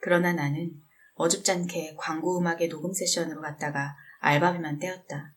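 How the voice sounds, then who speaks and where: A woman with an ordinary speaking voice, fairly low in pitch, her intonation fairly even. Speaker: book reader / audiobook narrator. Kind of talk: calm book reading aloud. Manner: soft, relaxing.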